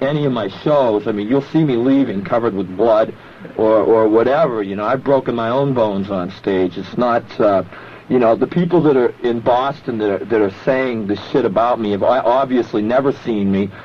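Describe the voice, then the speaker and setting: At a moderate pace, a man speaks at medium pitch against noticeable background noise. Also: ordinary pitch variation. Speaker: underground rock performer. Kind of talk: radio interview answer. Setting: radio studio. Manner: calm.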